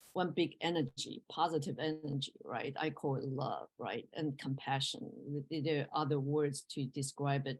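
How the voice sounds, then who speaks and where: With a Mandarin accent, a woman talks in a very deep, low voice and hardly pauses. Her intonation stays fairly even. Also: moderate pace. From Taiwan or China. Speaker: professor. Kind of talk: interview. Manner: halting.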